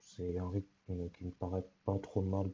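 A man talks in a somewhat breathy voice with a very deep, low pitch. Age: 20s. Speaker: podcast host. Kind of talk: solo podcast introduction. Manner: hesitant, many fillers.

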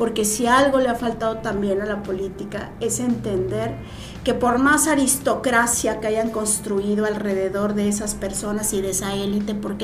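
A woman speaks with a fairly high pitch. There is audible room echo and music in the background. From Mexico, Morelos. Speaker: senator. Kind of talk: casual interview.

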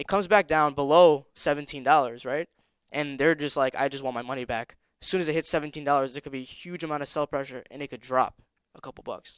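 With a plain, everyday voice, a man speaks at a fairly quick pace and fairly high pitch with fairly even intonation, in a very clean recording with a silent background and a dry, close sound with no echo. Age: young. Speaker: sneaker reseller and trader. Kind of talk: casual chat.

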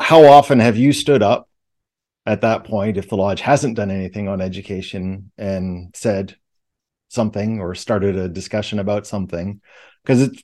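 An unremarkable speaking voice from a man, fairly low-pitched with ordinary pitch variation, at a moderate pace against a quiet background. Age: 40s. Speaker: podcast co-host, Freemason. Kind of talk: casual chat.

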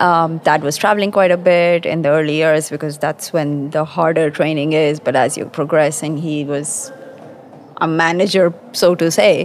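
With noticeable background noise behind her, a woman speaks at a moderate pace in a fairly low pitch with fairly even intonation. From Pakistan. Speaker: quality engineering manager. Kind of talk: conversational interview. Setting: live at a conference.

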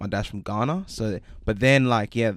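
On a very clean recording with a silent background, a man uses an ordinary speaking voice, fairly low in pitch, at a moderate pace with fairly even intonation. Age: 20s. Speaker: podcast host. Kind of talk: casual chat, interview. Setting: studio.

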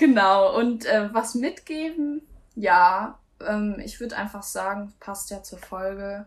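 Spoken at a very slow pace, the voice is somewhat breathy, with big swings in loudness and ordinary pitch variation. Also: woman, medium pitch for a woman. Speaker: aspiring singer. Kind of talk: casual chat.

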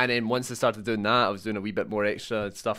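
Very fast, monotone speech with a Scottish accent, a bright, sharp tone and flat intonation on a very clean recording with a silent background. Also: man. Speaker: games journalist. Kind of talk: casual chat.

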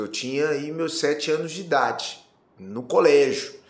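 A man talks at a fairly high pitch. Audible room echo surrounds his voice. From Brazil, Campo Grande (Mato Grosso do Sul). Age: 40s. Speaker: politician. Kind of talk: interview. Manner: hesitant, many fillers.

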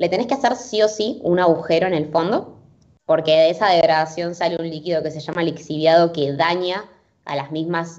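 At a fairly quick pace, a woman with an ordinary speaking voice talks at a fairly low pitch with ordinary pitch variation. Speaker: sustainability interviewee. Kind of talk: interview.

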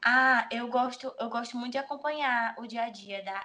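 A woman's voice, bright and sharp in tone, keeps a fairly even intonation. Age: 20s. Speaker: bikini fitness athlete and nutrition student. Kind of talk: interview.

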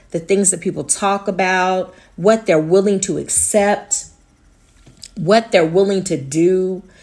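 At a very slow pace, a woman speaks at a medium pitch with fairly even intonation. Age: 40s. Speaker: podcast host. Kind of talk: casual monologue. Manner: laughs often.

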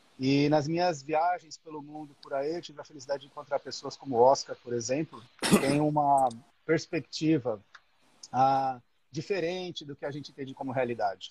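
An unremarkable speaking voice moves at a moderate pace with fairly even intonation and big swings in loudness, in a dry, close sound with no echo. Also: man. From Brazil, São Paulo. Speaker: electrical engineer. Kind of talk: casual chat.

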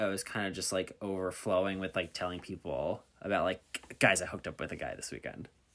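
With an American accent, a man speaks at a moderate pace and a fairly low pitch. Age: 20s. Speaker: podcast host. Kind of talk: casual chat. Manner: animated, chatty.

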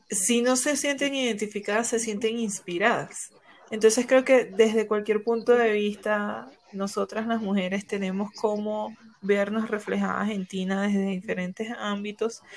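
Over noticeable background noise, a woman speaks at a fairly slow pace and a fairly high pitch with fairly even intonation. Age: 30s. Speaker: podcast host. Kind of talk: casual chat.

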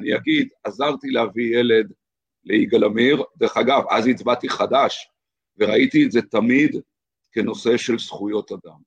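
A man talks fairly slowly, the sound dry and close with no echo. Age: 50s. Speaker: lawyer. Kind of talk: casual interview conversation.

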